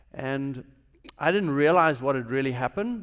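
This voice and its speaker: A man with a South African accent speaks in a fairly high voice. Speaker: businessman, chapel speaker. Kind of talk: chapel talk, personal testimony. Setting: university chapel service.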